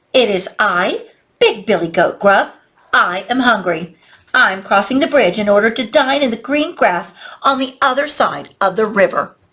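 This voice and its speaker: A female-sounding voice puts on a character at a fairly high pitch. The pace is moderate. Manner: bold, confident.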